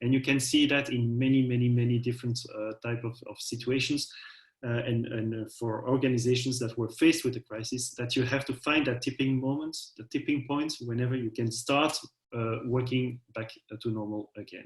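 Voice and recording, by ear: At a fairly quick pace, a man speaks at medium pitch with fairly even intonation.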